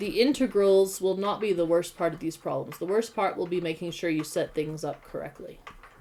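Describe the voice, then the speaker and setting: Noticeable background noise is present throughout. A woman talks fairly quickly, with hardly any pauses. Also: medium pitch for a woman, ordinary pitch variation. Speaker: high school math and physics teacher. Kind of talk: online class lecture.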